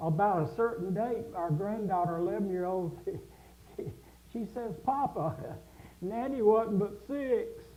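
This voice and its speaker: Speaking with an American accent, a man with a high-pitched voice leaves long, frequent pauses amid audible room echo and noticeable background noise. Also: ordinary pitch variation, fairly slow pace. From South Carolina. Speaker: music instructor. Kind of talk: casual chat.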